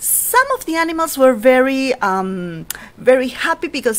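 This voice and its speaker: Over noticeable background noise, a woman with a Spanish accent speaks at a moderate pace in a high pitch with very wide pitch swings. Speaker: storyteller. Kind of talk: storytelling for children. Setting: at home, online session. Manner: animated.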